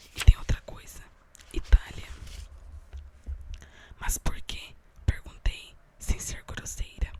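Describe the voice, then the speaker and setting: A woman whispers very slowly with long pauses coming often, her volume rising and falling sharply against noticeable background noise. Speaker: ASMR creator. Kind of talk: ASMR book reading. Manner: whispered.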